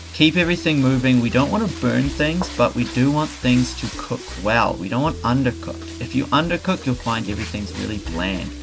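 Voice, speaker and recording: Music plays in the background as a man talks at a fairly quick pace with hardly any pauses. His pitch swings very widely. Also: medium pitch for a man. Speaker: cooking youtuber. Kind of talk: tutorial.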